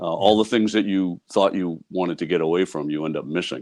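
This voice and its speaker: Against a quiet background, a man with a very deep, low pitch and an American accent talks at a fairly quick pace with ordinary pitch variation. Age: 60s. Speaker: retired police detective and mystery author. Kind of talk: interview. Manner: halting.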